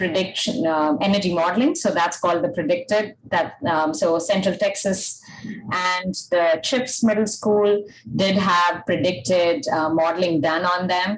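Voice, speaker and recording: A woman at a fairly slow pace with very even loudness, over noticeable background noise. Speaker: energy analyst. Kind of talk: webinar presentation.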